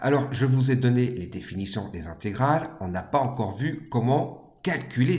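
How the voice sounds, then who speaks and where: A man's medium-pitched voice with vocal fry and very wide pitch swings, in audible room echo. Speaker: maths teacher. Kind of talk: lecture.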